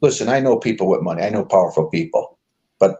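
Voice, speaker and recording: A man with an American accent and vocal fry. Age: 60s. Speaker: former mayoral candidate. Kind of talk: interview.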